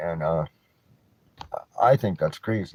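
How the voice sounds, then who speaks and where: With a western Canadian accent and lively intonation, a man talks at a moderate pace in a dry, close sound with no echo. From Canada, North Vancouver. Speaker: vlogger, cannabis reviewer. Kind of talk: casual rant vlog. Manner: mumbling when mellow; halting, many restarts.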